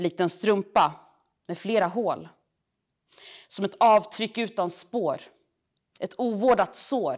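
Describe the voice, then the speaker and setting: A woman's fairly high voice at a very slow pace, over a quiet background. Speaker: poet. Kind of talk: poetry reading. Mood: earnest, critical tone. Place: hall.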